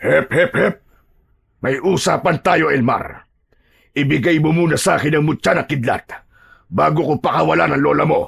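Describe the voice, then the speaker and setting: Using a put-on character voice, a man speaks fairly high at a moderate pace, with long, frequent pauses. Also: very even loudness. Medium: audio drama. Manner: mocking, laughing, menacing.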